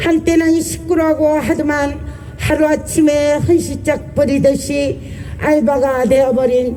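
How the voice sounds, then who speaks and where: Noticeable background noise is present throughout. The talking proceeds very slowly. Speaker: union vice branch chief. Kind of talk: rally speech.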